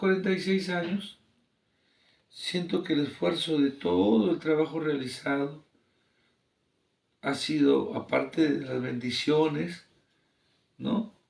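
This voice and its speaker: Here a man talks at a fairly slow pace. His pitch sits fairly high. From Peru, Ancash region (Santa province). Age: 60s. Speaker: engineer and teacher. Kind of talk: interview.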